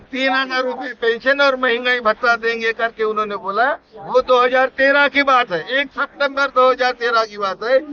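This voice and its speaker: A man speaks at an extremely high pitch with fairly even intonation over noticeable background noise. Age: 70s. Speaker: pensioners' activist. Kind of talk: interview.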